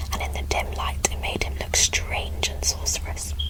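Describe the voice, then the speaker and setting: With noticeable background noise behind it, a whispering voice goes at a moderate speed. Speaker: ASMR creator. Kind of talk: reading aloud. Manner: whispered.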